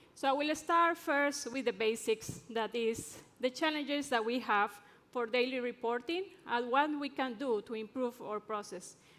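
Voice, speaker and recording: At a moderate pace, a woman with an Ecuadorian accent speaks at a high pitch with ordinary pitch variation. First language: Spanish. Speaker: drilling engineer and conference speaker. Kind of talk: conference presentation. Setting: stage with audience.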